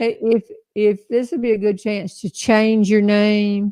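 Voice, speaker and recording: The speaker has a Southern US accent, heard over a quiet background. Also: woman. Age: 70s. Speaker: humorist and live show host. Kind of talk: casual chat. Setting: live stream from back porch.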